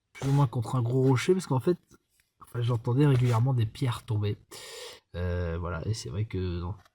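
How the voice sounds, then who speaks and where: A man speaks at a fairly quick pace in a somewhat breathy voice with a dark, mellow tone. The recording is very clean, with a silent background. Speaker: travel vlogger. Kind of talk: casual vlog narration. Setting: outdoors at night. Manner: soft-spoken.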